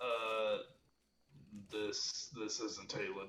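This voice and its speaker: A man puts on a character voice at a medium pitch. His intonation stays fairly even. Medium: actual play.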